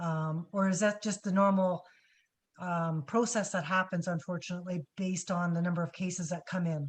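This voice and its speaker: Her intonation is fairly even. The woman speaks at a moderate pace in a fairly low pitch. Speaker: webinar moderator. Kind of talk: webinar Q&A. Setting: video call. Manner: trying to speak loudly.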